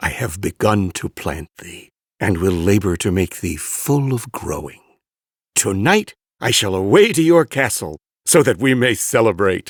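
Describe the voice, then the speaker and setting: Using a put-on character voice, a man with a fairly low pitch swings very widely in pitch at a moderate pace, on a very clean recording with a silent background. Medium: read story.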